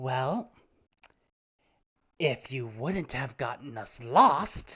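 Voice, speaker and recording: Someone speaks in a put-on character voice at a very slow pace. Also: man, medium pitch for a man. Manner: irritated, scolding.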